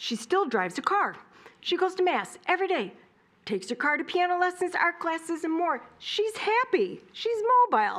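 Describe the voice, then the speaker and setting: A woman with an American accent, extremely high pitch, very wide pitch swings and a moderate pace. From Michigan, Royal Oak (Detroit area). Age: 60s. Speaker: resident giving public comment. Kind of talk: public comment at a city meeting.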